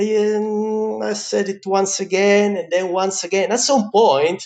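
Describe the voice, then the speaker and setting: A man with a high voice and a slight Italian accent speaks at a fairly slow pace. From Italy. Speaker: pizza chef. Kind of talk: interview. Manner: animated.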